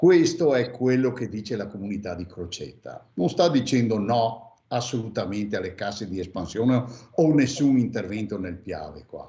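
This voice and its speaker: Audible room echo surrounds a man whose somewhat breathy voice has lively intonation and big swings in loudness. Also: medium pitch for a man, moderate pace. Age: 60s. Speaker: former mayor. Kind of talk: radio interview. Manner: hesitant, many fillers.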